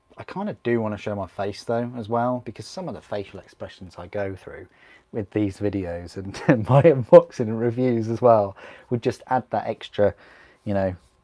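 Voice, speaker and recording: A man with a medium-pitched, dark, mellow voice speaks at a moderate pace in a relaxed tone, his loudness swinging widely, on a very clean, dry, close recording with no echo and a silent background. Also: ordinary pitch variation. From northern England, Grimsby. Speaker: miniature painting streamer. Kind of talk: casual live-stream chat while building models. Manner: chatty, relaxed.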